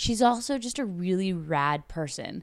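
Using a plain, everyday voice with a Canadian accent, a woman speaks at a moderate pace and a fairly low pitch, her intonation lively. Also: very clean recording, silent background. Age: 30s. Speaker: entertainment reporter and podcast host. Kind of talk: casual interview chat; podcast monologue. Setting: studio (meditation space in Toronto).

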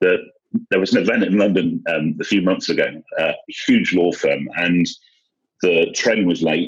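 The speaker is a man. His pace is moderate. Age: 40s. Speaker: inspirational speaker on anxiety and mental health. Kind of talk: interview conversation.

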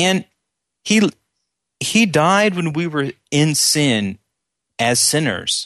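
A man at a very slow pace with long, frequent pauses and very wide pitch swings, the sound dry and close with no echo. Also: fairly high pitch for a man. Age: 30s. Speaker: church member, prayer partner. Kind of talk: casual chat.

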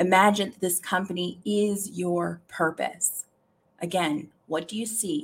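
The somewhat breathy voice moves at a fairly slow pace, with ordinary pitch variation and big swings in loudness. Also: woman, medium pitch for a woman. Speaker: live podcast host and career coach. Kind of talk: guided meditation. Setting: live stream with chat. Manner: coaxing, inviting, slow and rhythmic, repeating the cues.

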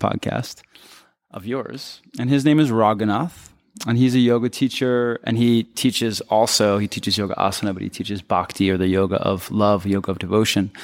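Spoken in a plain, everyday voice with an American accent, the delivery has a moderate pace and ordinary pitch variation. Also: man. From US East Coast, Philadelphia. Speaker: wellness business owner and yoga teacher. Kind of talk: interview conversation.

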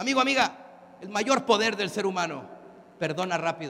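In a Mexican accent, the speaker uses an animated tone and a raised, projected voice at a moderate pace, with very wide pitch swings. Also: man. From Mexico. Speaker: motivational speaker. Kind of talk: conference talk. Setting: stage with audience.

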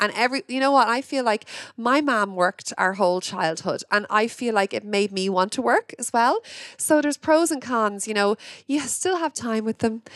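With an Irish accent, a woman speaks at a moderate pace in a fairly high pitch and lively intonation, the sound dry and close with no echo. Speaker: podcast host. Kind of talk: casual interview chat. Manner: excitable.

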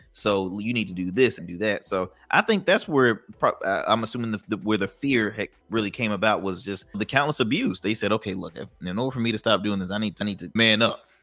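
A man's bright, sharp voice at a fairly quick pace with hardly any pauses. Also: fairly low pitch for a man, ordinary pitch variation, very clean recording, silent background. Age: 20s. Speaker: entrepreneur. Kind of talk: casual chat.

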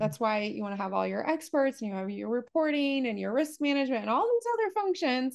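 A woman with an American accent speaks in a high pitch. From US, partly Appalachia. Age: 40s. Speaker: leadership coach. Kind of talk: interview conversation.

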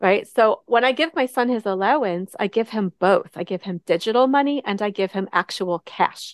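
A woman with an unremarkable speaking voice talks at a moderate pace with hardly any pauses. Her fairly high voice has ordinary pitch variation, and the sound is dry and close with no echo. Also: quiet background. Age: 50s. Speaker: money coach. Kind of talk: interview.

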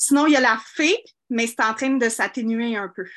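Against a quiet background, a woman with a fairly high pitch and ordinary pitch variation talks in an unremarkable speaking voice. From Quebec (Saint-Jean-sur-Richelieu). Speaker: small business owner seeking advice. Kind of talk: call-in advice conversation.

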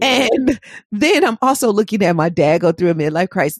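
A woman with an American accent has an ordinary speaking voice, fairly low in pitch with lively intonation. She talks at a fairly quick pace in a dry, close sound with no echo over a quiet background. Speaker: podcast host and hypnotherapist. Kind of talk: interview conversation.

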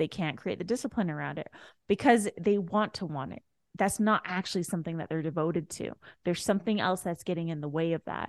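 Recorded dry and close with no echo against a quiet background, a woman talks very fast in a fairly low pitch. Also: ordinary pitch variation. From immigrant family, raised in a new country. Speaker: personal development coach and shamanic practitioner. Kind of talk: casual chat.

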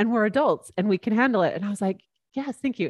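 With a Utah accent, a woman speaks in a lively, varied intonation on a very clean recording with a silent background and a dry, close sound with no echo. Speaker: podcast host. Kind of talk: casual chat.

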